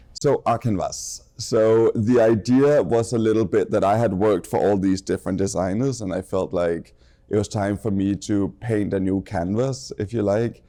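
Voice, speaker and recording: Speaking with a Danish accent, a man has a dark, mellow tone and a fairly low pitch. He keeps a moderate pace and ordinary pitch variation against a quiet background. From Denmark. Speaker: fashion designer. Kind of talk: casual interview chat.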